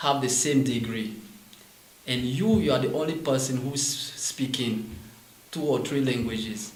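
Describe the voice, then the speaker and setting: A man speaks at a medium pitch and a fairly slow pace with ordinary pitch variation, against noticeable background noise and audible room echo. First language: French. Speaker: French teacher and MBA student. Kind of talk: interview. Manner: halting.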